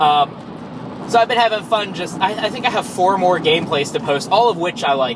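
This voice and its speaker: Through noticeable background noise comes a man's high-pitched voice with ordinary pitch variation. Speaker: vlogger. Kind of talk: casual vlog monologue. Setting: in a car, driving to work. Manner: frequent filler words (um).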